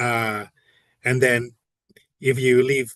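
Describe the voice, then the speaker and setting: Someone speaks with a Spanish accent over a quiet background. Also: man. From Puerto Rico. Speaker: podcast guest. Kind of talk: casual interview answer. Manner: hesitant, many fillers.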